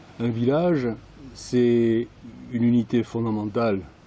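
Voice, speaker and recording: A man's dark, mellow voice, fairly low in pitch, at a fairly slow pace. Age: 60s. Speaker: village resident interviewee. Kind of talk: interview testimony. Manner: hesitant, many fillers.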